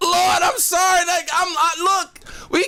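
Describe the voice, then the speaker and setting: An animated tone and a raised, projected voice come through over noticeable background noise. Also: man. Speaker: news reaction streamer. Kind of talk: live reaction stream. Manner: animated, laughing hard.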